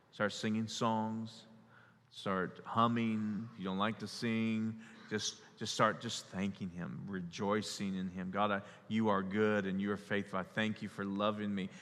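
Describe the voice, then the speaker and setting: On a very clean recording with a silent background, a man speaks in a fairly low pitch. His pace is fairly slow. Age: 40s. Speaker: pastor. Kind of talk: sermon. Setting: church. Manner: animated.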